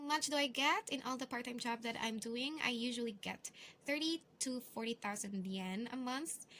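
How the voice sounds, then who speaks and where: A woman with a Filipino accent speaks at a moderate pace in a high-pitched, bright, sharp tone. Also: ordinary pitch variation. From Philippines. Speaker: English teacher and vlogger. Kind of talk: vlog tutorial. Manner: casual, hesitant with fillers.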